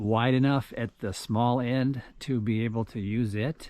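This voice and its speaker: An unremarkable speaking voice from a man, medium in pitch and fairly even in intonation. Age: 60s. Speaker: blue-collar worker vlogger. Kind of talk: casual vlog narration.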